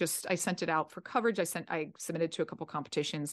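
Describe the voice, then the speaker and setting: Over a quiet background, a woman with an American accent and a fairly low pitch speaks at a fairly quick pace with ordinary pitch variation. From South Jersey, Philadelphia area. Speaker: actor and writer. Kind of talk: casual interview chat.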